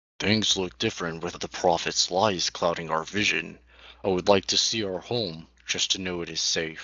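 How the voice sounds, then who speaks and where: A man speaks in a put-on character voice at a moderate pace. His pitch is very deep and low. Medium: read story.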